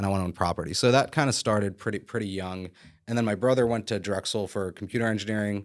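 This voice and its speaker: With an American accent, a man speaks at a fairly low pitch with fairly even intonation, in a very clean recording over a silent background. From Philadelphia area, Pennsylvania. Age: 30s. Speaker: real estate broker and developer. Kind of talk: podcast interview. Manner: casual, many fillers.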